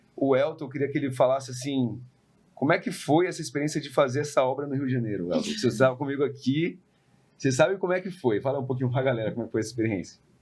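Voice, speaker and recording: A man with a São Paulo accent talks at a very fast pace in a fairly high, somewhat breathy voice with ordinary pitch variation. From São Paulo, Brazil. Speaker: podcast host, real estate investor. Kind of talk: casual podcast conversation.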